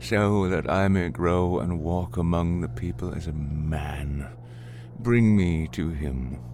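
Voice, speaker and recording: A man's put-on character voice, very deep and low, at a fairly slow pace over clear background music. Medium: audio drama. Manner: jeering, salacious, contemptuous.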